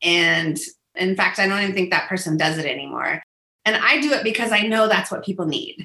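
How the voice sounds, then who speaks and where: A woman talks in an animated tone at a fairly quick pace. Her intonation is lively. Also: medium pitch for a woman. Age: 50s. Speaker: business coach. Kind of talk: interview.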